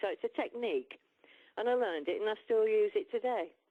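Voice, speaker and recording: Speaking with an English accent, a woman talks at a fairly quick pace. Her fairly high voice moves in very wide pitch swings. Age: 60s. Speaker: musician. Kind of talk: interview. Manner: halting.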